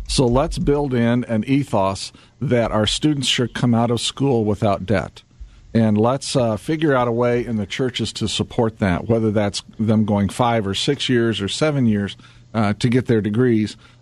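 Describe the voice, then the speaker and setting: With a plain, everyday voice, a man talks at a medium pitch and a moderate pace with ordinary pitch variation. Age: 50s. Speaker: business publisher and CEO. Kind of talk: radio interview. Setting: studio.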